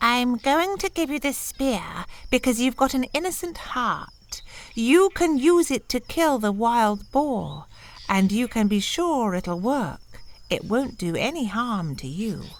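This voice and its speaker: A female-sounding voice speaks at a fairly high pitch in a put-on character voice. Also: fairly slow pace. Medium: read story.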